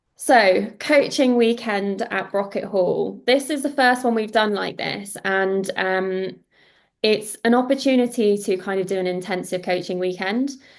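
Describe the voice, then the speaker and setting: At a fairly slow pace, a woman speaks at a medium pitch with ordinary pitch variation against a quiet background. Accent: British. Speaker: founder of golf events company presenting webinar. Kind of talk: webinar presentation. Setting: video call webinar with screen share.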